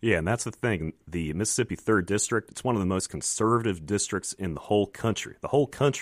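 A man with an American accent at a very fast pace, ordinary pitch variation, a dry, close sound with no echo and a very clean recording over a silent background. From Virginia. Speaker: congressional candidate and former Navy pilot. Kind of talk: radio interview. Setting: radio studio.

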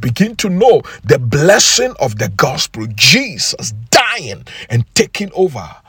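Fairly slow speech from a man amid noticeable background noise. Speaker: preacher. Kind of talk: fervent prayer and sermon, leading listeners in intercession. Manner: fervent, earnest, impassioned; rhythmic, exhorting, declarative.

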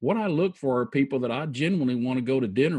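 A man talks fairly quickly in an ordinary speaking voice at a medium pitch. The background is quiet. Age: 50s. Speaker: financial advisor. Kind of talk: interview.

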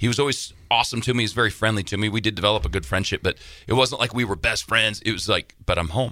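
Talking very fast, a man uses a fairly low pitch with ordinary pitch variation and vocal fry. His tone is bright, sharp and animated. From Wyoming. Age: 40s. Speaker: musician. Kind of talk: casual interview chat. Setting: studio. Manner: animated storyteller.

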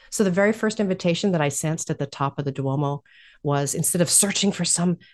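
A woman with an American accent talks at a fairly quick pace in a normal speaking voice, medium in pitch with lively intonation, over a quiet background. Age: 50s. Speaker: life coach and spiritual director. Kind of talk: interview.

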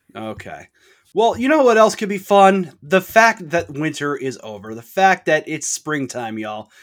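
Very wide pitch swings run through a high-pitched man's voice on a very clean recording with a silent background. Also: moderate pace. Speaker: podcast host. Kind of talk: casual chat.

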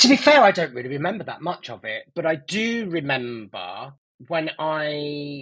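With an East Midlands accent, a man speaks at a fairly high pitch in a bright, sharp tone with lively intonation. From Nottingham, England. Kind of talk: interview. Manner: halting with many fillers.

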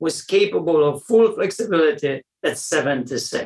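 At a fairly slow pace, a man talks with a Polish accent and ordinary pitch variation. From Poland. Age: 60s. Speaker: weightlifting coach. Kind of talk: interview. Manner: halting.

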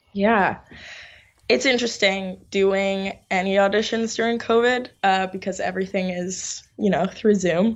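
Using an ordinary speaking voice, a woman talks with an American accent at a medium pitch. Her pace is fairly slow and her intonation fairly even. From New York. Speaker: actress. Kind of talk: interview.

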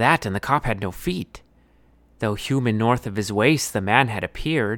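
A man with a normal speaking voice, medium pitch and moderate pace, in a very clean recording with a silent background. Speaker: storyteller and podcast author.

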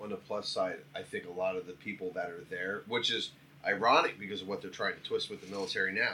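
Noticeable noise fills the background. Over it, a man talks very fast. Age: 40s. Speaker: podcast guest. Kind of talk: casual chat.

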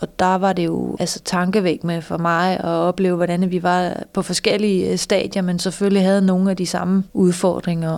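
A woman at a moderate pace, her pitch fairly low. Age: 50s. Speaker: lawyer with vision loss, course participant. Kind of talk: interview testimony. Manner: halting, many fillers.

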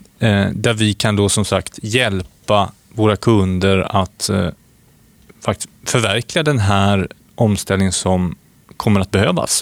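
A man with an unremarkable speaking voice talks at a fairly slow pace and fairly low pitch, with ordinary pitch variation, very even loudness, and a dry, close sound with no echo. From Sweden, Skövde (Västergötland). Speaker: podcast co-host, wind energy entrepreneur. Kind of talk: casual chat.

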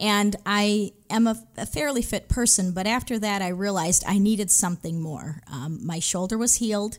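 A woman with an unremarkable speaking voice and an American accent, medium in pitch with ordinary variation, at a moderate pace with hardly any pauses. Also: very clean recording, silent background. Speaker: retired teacher. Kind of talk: testimony. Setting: studio.

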